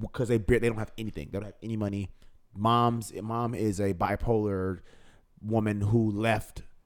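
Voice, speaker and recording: A man's fairly low voice at a moderate pace, monotone and flat, with an American accent. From US Midwest, south side of Chicago. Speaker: cinematographer and film editor. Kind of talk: casual chat.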